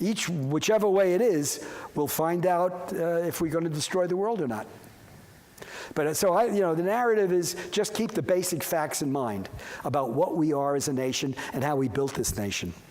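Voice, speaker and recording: With an American accent and a high pitch, a man speaks at a moderate pace with lively intonation, with audible room echo and noticeable background noise. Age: 80s+. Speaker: professor. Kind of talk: lecture. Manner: halting.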